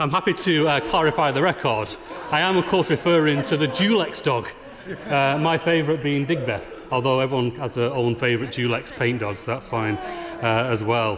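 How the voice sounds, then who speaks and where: Against noticeable background noise, a man with a northern English accent and a fairly high voice talks at a moderate pace with ordinary pitch variation. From Northern England. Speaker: politician. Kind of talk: parliamentary speech. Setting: debating chamber with echo. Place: hall. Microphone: podium.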